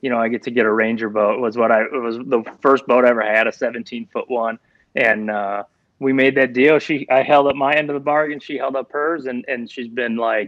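An Upper Midwest accent at a fairly quick pace, with fairly even intonation. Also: man, medium pitch for a man. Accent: Upper Midwest American. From Minnesota. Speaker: professional angler and fishing guide. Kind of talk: casual interview.

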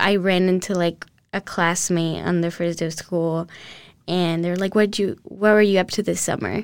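Speaking at a moderate pace with fairly even intonation and a Spanish accent, this voice comes through on a very clean recording with a silent background. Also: woman, fairly low pitch for a woman. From Colombia (Cali), moved to Houston at 12. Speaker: university student. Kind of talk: interview testimony.

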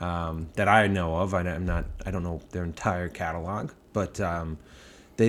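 A man with a Boston accent at a moderate pace. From Boston area, US. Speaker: brewery founder. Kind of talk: casual chat.

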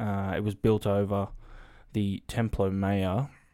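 With an Australian accent, this speaker talks at a fairly slow pace in a dark, mellow tone. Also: man. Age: 20s. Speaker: podcast co-host. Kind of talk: reading news stories aloud; casual chat.

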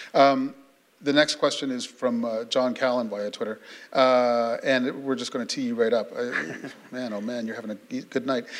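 A normal speaking voice with fairly even intonation moves at a moderate pace. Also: man, medium pitch for a man. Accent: Canadian. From Canada (Sarnia, Ontario). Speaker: journalist, interviewer. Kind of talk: onstage interview. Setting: stage with audience.

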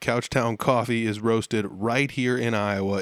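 In a normal speaking voice, a man with an American accent talks at a moderate pace, his fairly low pitch held in fairly even intonation. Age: 30s. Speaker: podcast host. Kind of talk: casual interview chat. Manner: casual, conversational.

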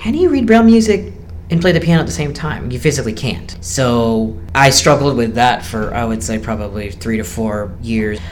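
At a fairly quick pace and medium pitch, a man speaks with lively intonation amid noticeable background noise and audible room echo. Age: 20s. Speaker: blind musician and team member. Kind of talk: interview. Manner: halting.

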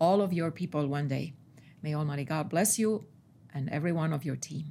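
Heard in a very clean recording with a silent background, a woman with a very deep, low pitch and a dark, mellow tone speaks at a moderate pace with ordinary pitch variation. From Estonia. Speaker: translator. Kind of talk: prayer and casual interview. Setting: studio.

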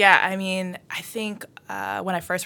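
Bright and sharp in tone, a woman with an American accent speaks at a fairly low pitch. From Everett, Massachusetts. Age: 20s. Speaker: former state representative candidate. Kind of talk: casual chat.

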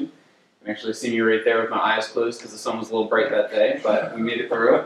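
Noticeable background noise fills the recording. Through it comes a man's voice at a medium pitch. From New Jersey, US. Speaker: graduate student giving a lecture. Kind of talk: lecture. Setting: lecture hall with audience.

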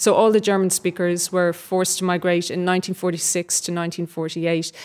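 Recorded very cleanly against a silent background, a woman of medium pitch speaks at a moderate pace. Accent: Dublin. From Dublin, Ireland. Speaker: novelist and actor. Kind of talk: interview before a live audience. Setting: stage with live audience.

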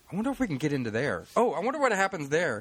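The speech runs at a very fast pace. Its pitch variation is ordinary. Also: man. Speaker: team historical researcher.

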